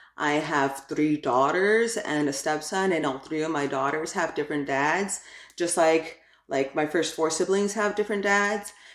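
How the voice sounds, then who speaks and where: With a Spanish accent, a woman speaks at a moderate pace in a very deep, low pitch, her loudness very even and her pitch variation ordinary. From New York (Brooklyn), Ecuadorian family. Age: adult. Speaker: YouTuber, crafts and parenting. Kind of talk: channel introduction vlog. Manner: casual, filler-heavy (like, um); talkative.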